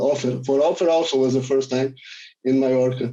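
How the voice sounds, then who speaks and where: A man with a Portuguese accent, medium pitch, a dark, mellow tone and a moderate pace. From Brazil, Rio de Janeiro. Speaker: film director. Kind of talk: panel Q&A.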